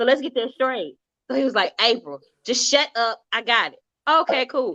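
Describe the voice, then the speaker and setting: A woman speaks in a high pitch with a bright, sharp, animated tone and ordinary pitch variation. The sound is dry and close, with no echo. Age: 40s. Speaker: talk show host. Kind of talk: casual chat. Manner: fast.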